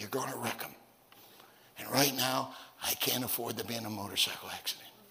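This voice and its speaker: A man's very fast speech at medium pitch, with fairly even intonation and noticeable background noise. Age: 60s. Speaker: preacher. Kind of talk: sermon. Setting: church.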